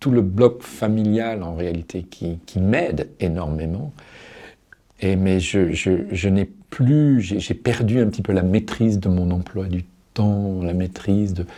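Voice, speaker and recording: The words come out very slowly. Pitch rises and falls in an ordinary way. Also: man, very deep, low pitch for a man. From Paris. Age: 60s. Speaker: person living with Alzheimer's disease. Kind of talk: interview answer. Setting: studio.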